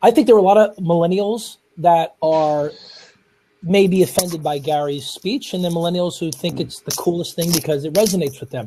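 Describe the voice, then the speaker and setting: A man with a New York accent talks at a high pitch with ordinary pitch variation. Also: fairly quick pace. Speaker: speaker. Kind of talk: panel discussion.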